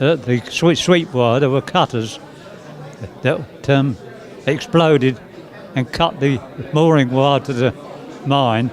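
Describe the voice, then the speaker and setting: Amid crowd noise and audible room echo, a man with a fairly high pitch and ordinary pitch variation speaks at a fairly slow pace, leaving long, frequent pauses. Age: 90s. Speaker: war veteran. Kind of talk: interview. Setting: museum interview. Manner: halting.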